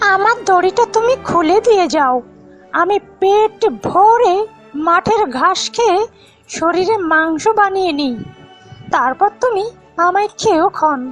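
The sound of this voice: A cartoonish character voice from a woman, extremely high-pitched, slow and with lively intonation, over faint music in the background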